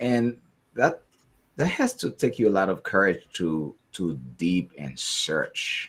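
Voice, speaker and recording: A man's very slow speech on a very clean recording with a silent background. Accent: American. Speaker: podcast host. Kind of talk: interview; casual chat.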